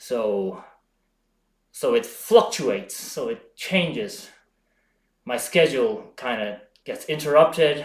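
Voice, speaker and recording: A man speaks very slowly at a fairly high pitch, with vocal fry and long, frequent pauses. His pitch swings very widely and his loudness shifts greatly. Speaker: home bodybuilding streamer. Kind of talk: live stream chat. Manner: halting, frequent self-corrections.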